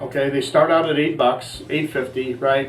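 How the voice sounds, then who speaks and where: Speaking at a fairly quick pace, a man with a fairly high pitch is heard through audible room echo and noticeable background noise. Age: 60s. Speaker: cooking show host, chef in recovery. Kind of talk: casual cooking show talk.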